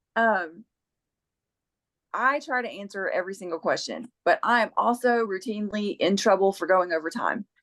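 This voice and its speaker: With music in the background, a woman talks at a medium pitch. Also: ordinary pitch variation, moderate pace. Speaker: bone reader. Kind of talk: casual chat.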